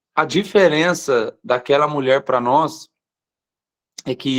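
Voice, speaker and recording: A man with a fairly high pitch at a very slow pace. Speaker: pastor. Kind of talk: live online morning devotional sermon. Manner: slows down deliberately at times.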